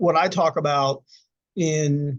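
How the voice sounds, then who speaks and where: A man's somewhat breathy, fairly high voice with ordinary pitch variation. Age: 60s. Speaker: suicide attempt survivor and speaker. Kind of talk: interview conversation. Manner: halting, frequent repetitions.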